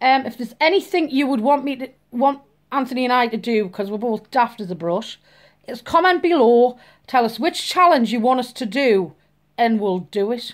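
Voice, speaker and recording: Delivered at a moderate pace with lively intonation in a Geordie accent, the speech is captured on a very clean recording with a silent background. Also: woman, high pitch for a woman. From northeast England, Newcastle. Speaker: vlogger. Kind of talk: casual vlog introduction.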